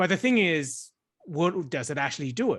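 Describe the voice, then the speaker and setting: A man with an Australian accent, very wide pitch swings, and a moderate pace over a quiet background. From Australia, migrated from China at five or six. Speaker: startup founder. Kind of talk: podcast interview.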